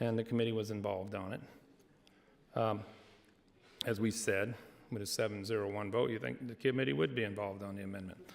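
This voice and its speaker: This man's voice sits fairly low in pitch. He talks at a very fast pace yet leaves long, frequent pauses. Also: ordinary pitch variation. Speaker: state senator. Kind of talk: legislative floor debate. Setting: legislative chamber. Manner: loud.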